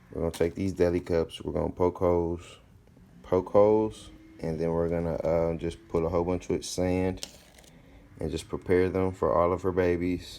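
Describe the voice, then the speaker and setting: A man's very deep, low voice has a dark, mellow tone. He keeps a moderate pace with monotone, flat intonation. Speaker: exotic pet keeper and YouTuber. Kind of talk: casual vlog tutorial. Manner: loud.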